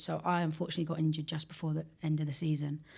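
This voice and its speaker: With a London accent, a woman talks at a very fast pace in a very deep, low voice with monotone, flat intonation. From England, West London. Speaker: former pro footballer, academy founder. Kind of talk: podcast interview.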